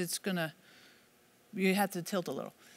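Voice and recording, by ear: A woman talks at a fast pace. Her tone is fairly bright.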